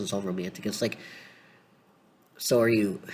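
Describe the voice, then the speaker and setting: A fairly low male voice with monotone, flat intonation. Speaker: fiction fan commentator. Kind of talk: casual talk to camera. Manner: casual, many filler words.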